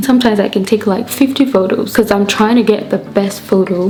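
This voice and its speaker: Against noticeable background noise, a woman with a fairly high pitch talks at a moderate pace with fairly even intonation. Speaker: beauty and photo editing vlogger. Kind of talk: tutorial. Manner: casual, chatty.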